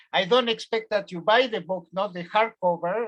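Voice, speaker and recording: A man with a slight Spanish accent talks at a moderate pace, his pitch high with ordinary variation. His tone is bright and sharp. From Argentina, Buenos Aires. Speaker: professor. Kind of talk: lecture. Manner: halting, many fillers.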